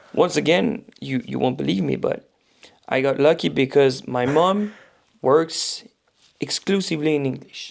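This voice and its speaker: In a slight French accent, a man with a fairly high pitch talks at a fairly slow pace, with lively intonation and long, frequent pauses. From France. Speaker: powerlifting commentator and coach. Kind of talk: casual interview chat. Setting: podcast recording.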